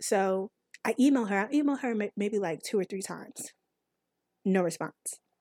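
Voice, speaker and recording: A woman's animated voice at a medium pitch, with a slight country accent, a moderate pace and ordinary pitch variation. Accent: slight country twang. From North Carolina. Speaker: podcast host. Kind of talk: casual monologue.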